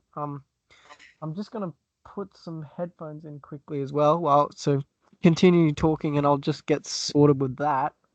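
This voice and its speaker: Speaking with an Australian accent, a man talks at a moderate pace in a fairly high voice. His intonation stays fairly even, and the recording is dry and close with no echo. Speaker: podcaster guest. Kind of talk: casual podcast chat.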